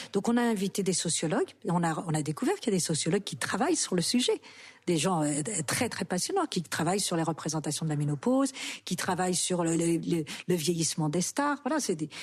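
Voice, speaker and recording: Fairly low in pitch, a woman speaks with lively intonation and a somewhat breathy voice. The background is quiet. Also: fairly quick pace. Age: 60s. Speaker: actress and author. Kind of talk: interview.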